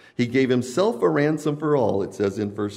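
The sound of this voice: This is an unforced reading voice. It is the only trait here.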